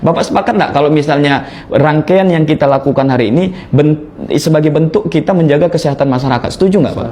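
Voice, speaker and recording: Over noticeable background noise, a man with a Malay accent talks at a very fast pace in a fairly high voice. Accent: sounds Malay. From North Sumatra (Batak). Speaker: protest representative. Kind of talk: formal statement at a meeting with officials. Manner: earnest, insistent.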